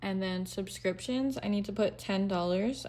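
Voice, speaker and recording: A woman speaks in an unremarkable speaking voice. Her pitch is medium and her pace moderate. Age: 20s. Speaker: budgeting vlogger. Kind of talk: casual tutorial. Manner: casual, with fillers.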